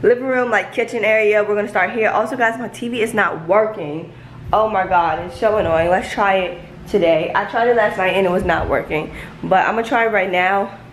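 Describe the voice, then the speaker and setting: At a fairly quick pace, a woman speaks with ordinary pitch variation, with audible room echo and light background noise. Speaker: vlogger. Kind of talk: casual vlog chat. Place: home room. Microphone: phone near.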